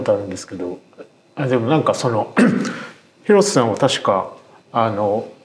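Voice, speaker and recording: Noticeable background noise sits behind a man's voice. His pitch is medium and his intonation lively. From Tokyo. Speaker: writer and podcast host. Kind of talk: podcast interview.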